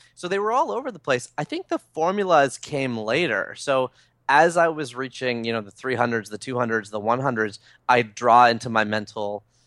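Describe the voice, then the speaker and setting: Speaking at a moderate pace and medium pitch, a man has a Canadian accent and an ordinary speaking voice. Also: lively intonation. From Toronto, Canada. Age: 30s. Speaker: author. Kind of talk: interview.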